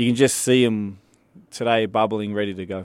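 Here a man talks at a moderate pace. He has an Australian accent and a fairly low pitch. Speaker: soccer head coach. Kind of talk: radio interview.

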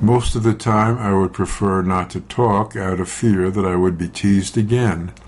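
Over noticeable background noise, a man talks at a moderate pace in a fairly low pitch with fairly even intonation. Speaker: news reader. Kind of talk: news reading.

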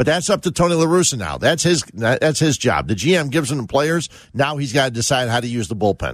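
A man with an American accent and medium pitch speaks at a fairly quick pace with lively intonation, vocal fry and hardly any pauses, over a quiet background. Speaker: sports radio host. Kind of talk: call-in sports talk radio. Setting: studio.

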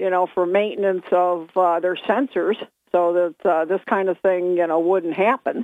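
A woman with an American accent and a normal speaking voice, medium in pitch with fairly even intonation, in a dry, close recording with no echo. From Binghamton, New York. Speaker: caller. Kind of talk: casual call-in chat. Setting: phone call. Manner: chatty, giggly.

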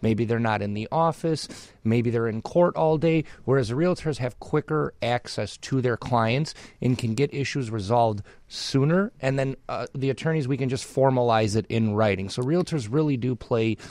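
A man's normal speaking voice at medium pitch, with ordinary pitch variation and a moderate pace. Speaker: real estate attorney. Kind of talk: casual explanatory chat.

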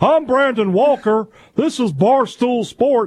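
Extremely high-pitched put-on character voice from a man, delivered at a fairly slow pace. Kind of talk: broadcast sports intro.

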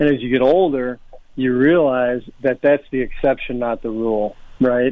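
This man has a normal speaking voice, medium in pitch, with fairly even intonation and a moderate pace. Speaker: former football player. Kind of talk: casual interview. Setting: phone call.

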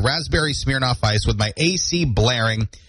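A man's very wide pitch swings carry over noticeable background noise. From central Maine. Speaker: radio host. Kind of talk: morning radio show talk. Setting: radio studio.

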